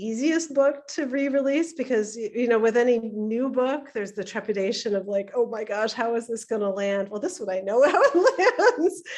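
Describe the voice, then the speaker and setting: Against noticeable background noise, a woman with a high-pitched voice speaks at a moderate pace with lively intonation. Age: old. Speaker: author. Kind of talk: panel discussion. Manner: halting.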